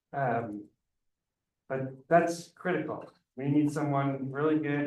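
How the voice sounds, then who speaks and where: In a room with audible echo, a man speaks at a fairly slow pace with fairly even intonation. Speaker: city liaison giving community updates. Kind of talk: public meeting updates. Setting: neighborhood council meeting.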